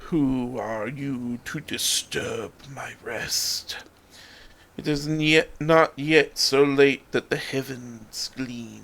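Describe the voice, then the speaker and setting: A man puts on a character voice, speaking quietly at a very slow pace. His intonation is fairly even, while his loudness swings widely. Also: medium pitch for a man. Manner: commanding.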